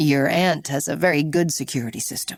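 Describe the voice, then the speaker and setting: A woman puts on a raspy character voice pitched very deep and low, recorded very cleanly against a silent background. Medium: read story. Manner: calm, probing.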